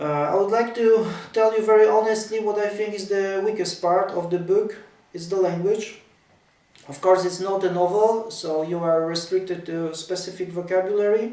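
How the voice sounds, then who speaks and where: A man with a high voice speaks at a moderate pace with fairly even intonation. Noticeable background noise and audible room echo surround him. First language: Polish. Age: 40s. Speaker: tennis writer. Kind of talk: casual talk to camera about his ebook. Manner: halting.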